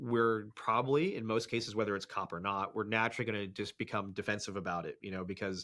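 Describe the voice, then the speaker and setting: Loud and very fast, a man with an American accent talks in a fairly low pitch with a bright, sharp tone, recorded very cleanly against a silent background. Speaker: police dog trainer. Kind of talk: interview conversation.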